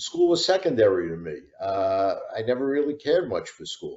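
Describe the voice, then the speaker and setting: A man with a New York accent and lively intonation. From New York City, the Bronx. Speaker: retired prosecutor and author. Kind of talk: interview.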